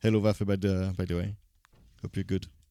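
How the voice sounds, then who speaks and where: A man speaks in a French accent. The sound is dry and close, with no echo. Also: very clean recording, silent background. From French-speaking Switzerland. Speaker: video game streamer. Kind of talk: live gameplay commentary. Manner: hesitant, many fillers.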